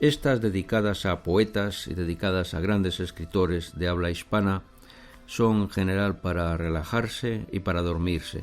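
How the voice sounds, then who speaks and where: A man talks in a very deep, low pitch, keeping his intonation fairly even. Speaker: hypnotherapist. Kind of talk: guided relaxation intro. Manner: slow.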